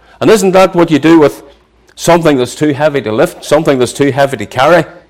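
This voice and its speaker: Lively in intonation, a man speaks at a fairly quick pace with a Northern Irish accent. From Northern Ireland, near Belfast. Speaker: preacher. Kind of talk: sermon.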